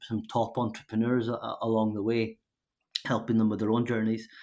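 A man speaks at a medium pitch with a Scottish accent. His intonation is monotone and flat. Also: quiet background. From northern Scotland. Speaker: startup founder and CEO. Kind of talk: interview.

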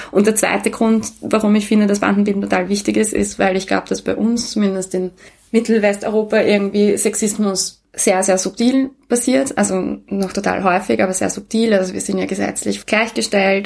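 This woman has an unremarkable speaking voice at a medium pitch, with fairly even intonation. She talks at a moderate pace with hardly any pauses. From Austria, Vienna. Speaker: co-founder of a women's network. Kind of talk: interview.

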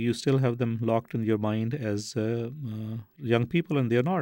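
At a moderate pace, a man talks in a dark, mellow tone with ordinary pitch variation. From Pakistan. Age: 60s. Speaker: orthopedic surgeon. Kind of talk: interview.

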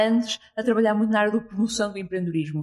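The woman's voice has a fairly high pitch. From Portugal, Porto. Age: 20s. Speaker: startup entrepreneur. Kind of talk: interview. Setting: hostel room in Lisbon.

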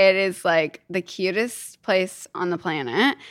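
A woman's medium-pitched voice in a Kentucky accent at a very slow pace, on a very clean recording with a silent background. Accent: US Southern (Kentucky) American. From Kentucky, US. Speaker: business founder. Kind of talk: casual chat. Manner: animated.

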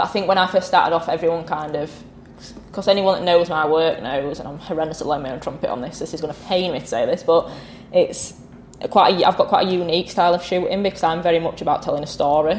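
Against noticeable background noise, a woman with a strong northern English accent talks at a very fast pace and fairly low pitch, with ordinary pitch variation and big swings in loudness. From northern England. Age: 20s. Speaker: motorsport photographer. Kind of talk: casual chat. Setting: indoor meet-up venue.

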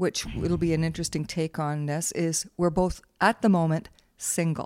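In a very clean recording with a silent background, a woman with a Canadian accent talks at a moderate pace in a fairly low pitch, using a normal speaking voice. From Canada (Waterloo, Ontario). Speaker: podcast host's mother. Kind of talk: casual chat.

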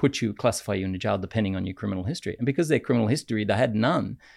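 Lively intonation comes through with vocal fry on a very clean recording with a silent background. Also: man. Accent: Australian. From Australia. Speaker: podcast co-host, lawyer. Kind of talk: casual debate. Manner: halting, repeats words.

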